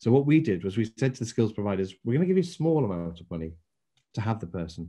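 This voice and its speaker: Speaking very fast with an English accent, this voice has a dark, mellow tone, very wide pitch swings and big swings in loudness, set against a quiet background. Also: man, fairly low pitch for a man. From England. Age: 60s. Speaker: former business council chairman. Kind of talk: interview.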